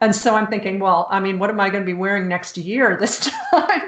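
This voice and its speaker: Speaking in a Chicago accent, a woman uses a fairly high pitch. Noticeable background noise is present. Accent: American, Chicago. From US Midwest, Chicago. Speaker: author. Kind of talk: casual chat.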